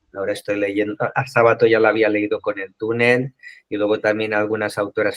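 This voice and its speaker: A man with a Catalan accent talks at a fairly quick pace, the sound dry and close with no echo. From Catalonia, Spain. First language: Catalan (speaking Spanish). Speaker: book club member. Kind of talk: casual group discussion. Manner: halting.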